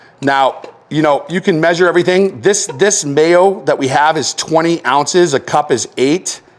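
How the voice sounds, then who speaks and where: Speaking in a Boston accent, a man talks at a high pitch. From Massachusetts. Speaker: chef. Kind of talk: casual chat; cooking demonstration. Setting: home kitchen. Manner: animated.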